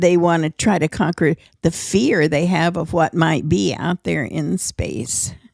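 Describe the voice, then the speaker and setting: A woman with a fairly low pitch and vocal fry is heard in a dry, close sound with no echo on a very clean recording with a silent background. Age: 80s+. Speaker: podcast co-host, elderly mother. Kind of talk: casual chat.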